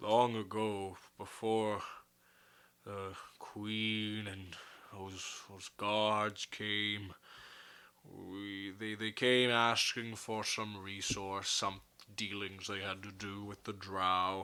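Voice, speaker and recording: A man uses a put-on character voice with a fairly low pitch and flat, monotone intonation. He talks at a very slow pace with long, frequent pauses. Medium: actual play. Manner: slow, grave, formal.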